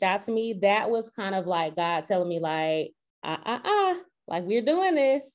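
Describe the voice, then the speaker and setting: A woman at a medium pitch and moderate pace, with an unremarkable speaking voice. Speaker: podcast host. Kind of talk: casual podcast interview.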